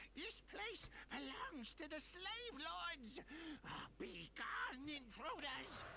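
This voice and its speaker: A put-on character voice, high-pitched and very slow, over clear background noise. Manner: shrill, threatening.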